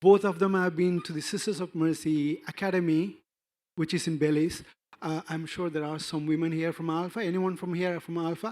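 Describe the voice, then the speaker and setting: A man's fairly quick, monotone delivery with flat intonation, high in pitch, with an Indian accent, on a very clean recording with a silent background. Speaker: NGO representative. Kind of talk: conference panel talk. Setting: conference stage with audience. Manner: halting, many fillers and restarts.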